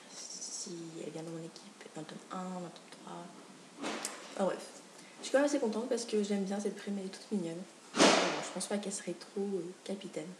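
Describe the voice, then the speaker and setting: A woman with a medium pitch is speaking. Audible room echo and noticeable background noise surround her voice. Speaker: booktuber. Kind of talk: casual video chat. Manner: animated.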